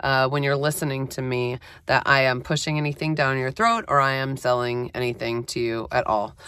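Her tone bright and sharp, a woman speaks with a very deep, low pitch. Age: 50s. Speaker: podcast host, professional organizer and massage therapist. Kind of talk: solo monologue. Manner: casual, halting with fillers.

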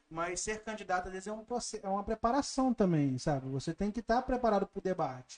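A high-pitched man talks at a very fast pace with lively intonation and hardly any pauses. The sound is dry and close, with no echo. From Brazil, Barra Mansa (Rio de Janeiro state). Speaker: podcast host. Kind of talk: interview.

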